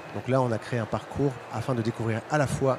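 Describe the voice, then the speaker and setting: This is a man speaking. Noticeable background noise runs through the clip. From Belgium. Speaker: startup founder presenting product. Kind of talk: conference presentation. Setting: stage with audience at trade fair. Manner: halting, many fillers.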